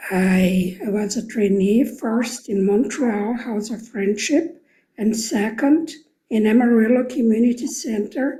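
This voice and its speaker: A woman's dark, mellow voice with a fairly high pitch is heard with audible room echo. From Brazil. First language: Portuguese. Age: 70s. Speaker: program alumna. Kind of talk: recorded video testimony. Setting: pre-recorded video.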